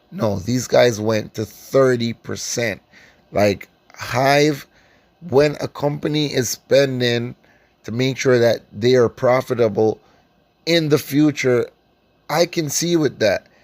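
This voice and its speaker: Speaking very slowly with long, frequent pauses, a man with a Caribbean accent holds a medium pitch and ordinary pitch variation in a dry, close sound with no echo. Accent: Caribbean island. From Caribbean islands. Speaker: stock investing YouTuber. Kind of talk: casual stock analysis vlog. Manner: casual, filler-heavy with frequent ums.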